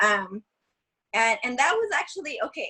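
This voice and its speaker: A woman's raised, projected voice with an American accent, lively intonation and a moderate pace. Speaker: social media content creator. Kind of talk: casual chat. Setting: podcast recording. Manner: halting, many fillers.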